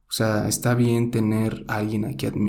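With a Mexican accent, a man speaks at a fairly slow pace in a fairly low pitch, with a dark, mellow tone, vocal fry and audible room echo. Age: 20s. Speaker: podcaster. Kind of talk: solo monologue podcast.

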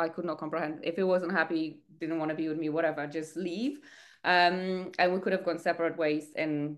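A woman talks at a moderate pace in a fairly low voice. Her intonation stays fairly even. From Poland. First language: Polish. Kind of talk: podcast interview, personal story.

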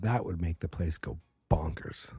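Slightly breathy and dark, mellow in tone, a man speaks at a very deep, low pitch and a moderate pace with ordinary pitch variation. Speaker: wrestling podcast host. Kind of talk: casual solo podcast talk. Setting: home at night. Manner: rambling, many fillers.

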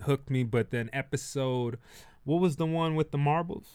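A man's unremarkable speaking voice, fairly high in pitch, with ordinary pitch variation. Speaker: comedian podcaster. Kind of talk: casual chat. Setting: studio.

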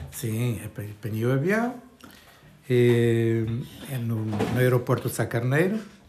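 Very slowly and with long, frequent pauses, a man talks at a medium pitch with ordinary pitch variation. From Portugal, Trás-os-Montes (Bragança). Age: 70s. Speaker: retiree interviewee. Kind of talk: interview. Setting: home kitchen. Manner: halting.

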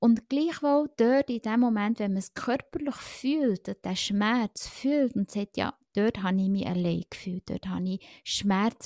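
A woman speaks fairly slowly with a dark, mellow tone. The recording is very clean, with a silent background. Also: dry, close sound with no echo. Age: 40s. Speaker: podcast guest, friend of the host. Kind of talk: casual chat.

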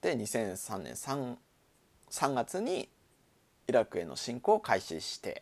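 Pausing long and often, a man speaks at a very slow pace with big swings in loudness on a very clean recording with a silent background. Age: 40s. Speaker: podcast host. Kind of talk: solo casual talk.

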